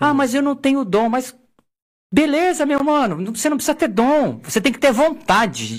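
The speaker is a man with an extremely high pitch. The recording is very clean, and the background is silent. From Osasco, São Paulo, Brazil. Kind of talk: casual chat.

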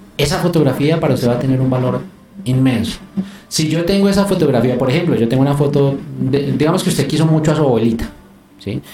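Noticeable background noise and audible room echo surround a man who talks at a very fast pace with a fairly high pitch and ordinary pitch variation. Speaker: youtuber and photographer. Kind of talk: casual chat.

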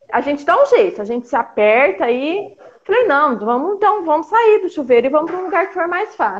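Very wide pitch swings in a woman's speech at a fairly quick pace. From interior of São Paulo state, Brazil. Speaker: mother sharing birth story, health worker. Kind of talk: testimony. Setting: online live stream.

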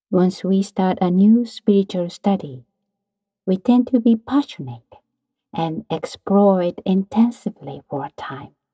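At a fairly slow pace, a woman speaks at a medium pitch in a calm, dark, mellow tone, somewhat breathy, with lively intonation and big swings in loudness, the sound dry and close with no echo. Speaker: meditation teacher. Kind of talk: guided meditation. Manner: calm, slow, instructive; soft-spoken, soothing.

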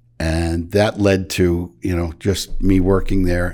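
A man with an American accent speaks at a fairly slow pace in a very deep, low voice with monotone, flat intonation, on a very clean recording with a silent background. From Michigan. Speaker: construction company founder. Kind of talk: interview.

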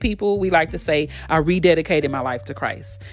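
Here a woman with an American accent speaks at a fairly quick pace. Vocal fry runs through her voice. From Texas, Fort Worth. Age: 40s. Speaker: podcast host. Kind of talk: personal storytelling monologue.

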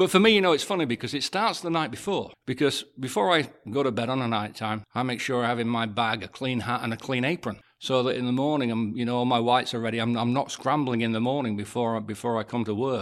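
A man with a medium pitch and ordinary pitch variation talks very fast, with hardly any pauses. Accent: English. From England. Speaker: chef. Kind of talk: casual chat.

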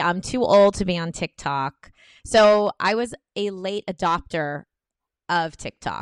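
With an American accent, an unremarkable speaking voice carries lively intonation in a dry, close sound with no echo against a quiet background. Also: woman. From United States. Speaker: comedian. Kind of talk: casual interview. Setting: home recording with drilling noise.

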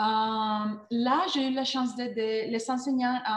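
The speaker has a Spanish accent and a somewhat breathy voice. Words come at a very slow pace with ordinary pitch variation. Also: woman. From Colombia. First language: Spanish (speaking French). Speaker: learning experience designer. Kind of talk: interview. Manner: halting, with many repeated words.

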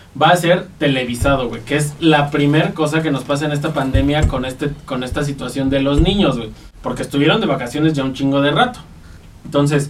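Fairly quick speech from a man with a fairly high pitch and ordinary pitch variation, amid audible room echo and noticeable background noise. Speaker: podcast co-host. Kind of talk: casual chat.

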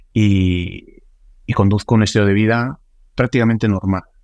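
In a plain, everyday voice, a man speaks at a fairly low pitch and a fairly slow pace with fairly even intonation, recorded dry and close with no echo against a quiet background. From Sicily, Italy. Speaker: meningitis survivor, quadruple amputee. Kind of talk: interview.

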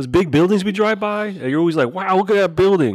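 A man rattles along at a very fast pace, captured in a very clean recording with a silent background. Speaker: podcast host. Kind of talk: casual banter. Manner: joking.

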